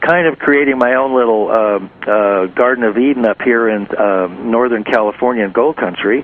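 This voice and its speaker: There is noticeable background noise as a man speaks at a moderate pace, his pitch varying in an ordinary way. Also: very even loudness. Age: 60s. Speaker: talk show host. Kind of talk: interview. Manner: halting.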